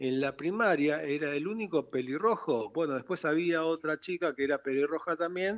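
With an unremarkable speaking voice, a man talks at a fairly high pitch using lively intonation. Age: 60s. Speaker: founder of a redhead club. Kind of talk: radio interview.

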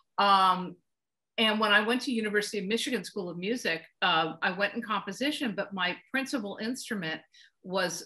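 At a moderate pace, a woman speaks in a bright, sharp tone with ordinary pitch variation over a quiet background. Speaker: guest. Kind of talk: interview answer. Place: home room. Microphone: video call.

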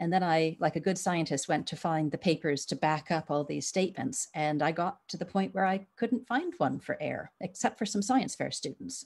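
A woman with a plain, everyday voice, fairly low in pitch, speaks at a moderate pace with lively intonation on a very clean recording with a silent background. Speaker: biologist. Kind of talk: interview.

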